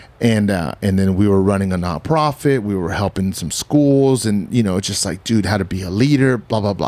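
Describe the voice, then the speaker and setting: At a fairly quick pace, the voice shows ordinary pitch variation. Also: man, fairly low pitch for a man. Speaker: podcast host. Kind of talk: casual interview chat.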